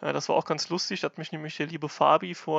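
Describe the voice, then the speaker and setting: A man with a plain, everyday voice speaks at a fairly high pitch and a moderate pace. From Germany, Rhineland-Palatinate (near Kaiserslautern). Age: 20s. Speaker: fantasy football player and league organiser. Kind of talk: podcast explainer.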